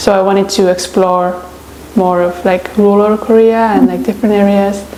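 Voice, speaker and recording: A woman in an Estonian accent speaks at a moderate pace and medium pitch with monotone, flat intonation over noticeable background noise. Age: 20s. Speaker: traveler and writer. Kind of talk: interview. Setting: on camera. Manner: casual, hesitant with many fillers.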